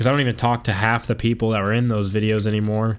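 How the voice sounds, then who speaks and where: A man's fairly low, flat, monotone voice in a very clean recording with a silent background. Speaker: gaming YouTuber. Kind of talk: casual gameplay chat.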